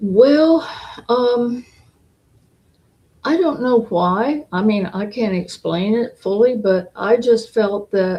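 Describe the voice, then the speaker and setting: The delivery is very slow, broken by long, frequent pauses. Its intonation is lively. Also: woman, fairly high pitch for a woman. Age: 80s+. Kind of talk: interview answer.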